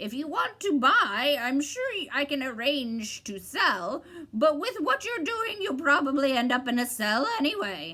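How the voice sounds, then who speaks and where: At a moderate pace, a shrill, cackling put-on character voice leaps through very wide pitch swings. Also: woman, high pitch for a woman. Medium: read story. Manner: interrupting, twisting words.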